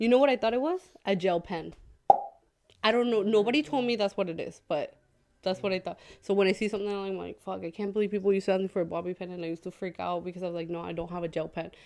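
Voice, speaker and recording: Very fast and animated, a woman talks at a medium pitch with ordinary pitch variation. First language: Spanish. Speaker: podcast co-host. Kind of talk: casual chat. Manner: fast, animated.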